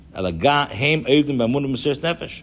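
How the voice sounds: A man is speaking. The rise and fall of his pitch is ordinary.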